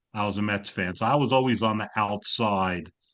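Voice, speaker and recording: Over a quiet background, a man with a slight New York accent speaks at a moderate pace and a fairly low pitch. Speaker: graduate counseling student. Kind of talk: casual chat. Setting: video call.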